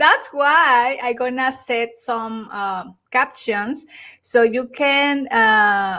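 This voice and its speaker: The voice has a bright, sharp tone and a Mexican accent, moving at a very slow pace with ordinary pitch variation. The recording is very clean, with a silent background. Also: woman, high pitch for a woman. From Mexico. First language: Spanish. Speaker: YouTuber. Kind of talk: casual chat. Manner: halting.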